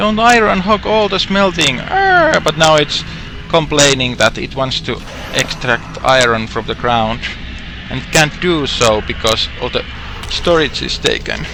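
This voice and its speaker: Amid noticeable background noise, a man talks at a fairly slow pace with very wide pitch swings. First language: not English. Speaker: gaming streamer. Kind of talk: live game commentary. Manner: halting with self-corrections; a little loud.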